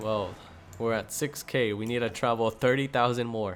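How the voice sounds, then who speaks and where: A man speaks at a moderate pace in a medium pitch. His delivery is monotone, with flat intonation. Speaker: gaming youtuber. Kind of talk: gameplay commentary. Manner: casual.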